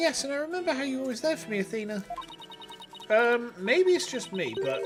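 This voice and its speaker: Music plays in the background. The speaker talks at a very fast pace. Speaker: VTuber streamer. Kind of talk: reading game dialogue aloud on livestream.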